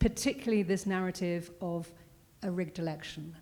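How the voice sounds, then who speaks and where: Talking at a fairly quick pace with a British accent, a woman has a medium pitch and a dark, mellow tone. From Britain. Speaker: security consultant, former journalist. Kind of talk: panel discussion.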